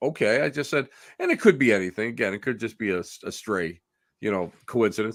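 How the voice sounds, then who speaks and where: In a very clean recording with nothing audible behind him, a man talks at a fairly brisk speed. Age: 60s. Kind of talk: casual interview chat. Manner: halting, many false starts and repetitions.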